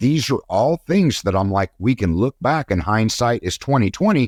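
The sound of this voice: A man at medium pitch and moderate pace, lively in intonation, in a very clean recording with a silent background and a dry, close sound with no echo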